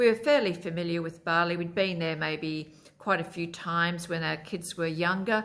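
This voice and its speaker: A woman speaks at a moderate pace with an Australian accent. Her pitch is fairly low, with ordinary variation. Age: 60s. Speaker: lifestyle vlogger. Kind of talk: casual vlog talk to camera. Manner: hesitant, many fillers.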